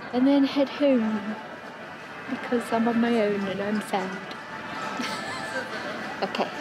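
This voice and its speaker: A woman's voice, dry with no echo, over crowd noise in the background. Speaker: travel vlogger. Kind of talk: casual vlog chat. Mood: cheerful, slightly self-conscious. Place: street. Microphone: phone near.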